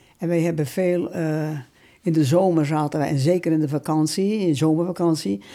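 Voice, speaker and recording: A woman speaks with a fairly low pitch and ordinary pitch variation, her tone dark and mellow. The recording is very clean, with a silent background. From Netherlands, Wervershoof (West Friesland). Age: 90s. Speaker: war eyewitness. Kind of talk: testimony. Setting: home visit.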